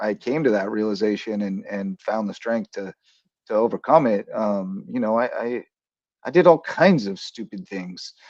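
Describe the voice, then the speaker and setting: A man speaks in a plain, everyday voice at a moderate pace with ordinary pitch variation. The sound is dry and close, with no echo. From rural Kansas. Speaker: sports talk show host and coach. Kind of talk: casual sports talk show.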